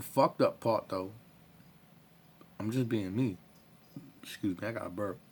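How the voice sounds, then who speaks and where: A man speaks at a moderate pace with a fairly low pitch. He leaves long, frequent pauses. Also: ordinary pitch variation. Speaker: vlogger telling personal story. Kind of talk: casual personal story vlog. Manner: loud.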